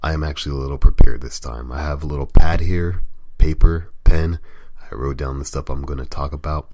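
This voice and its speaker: A man talks at a moderate pace with ordinary pitch variation. Background noise is noticeable throughout. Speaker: gaming site editor and podcast host. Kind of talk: casual solo podcast talk.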